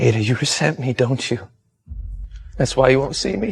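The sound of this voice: This is a put-on character voice with a husky, rough edge and vocal fry. The intonation is lively and the pace moderate. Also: man, medium pitch for a man.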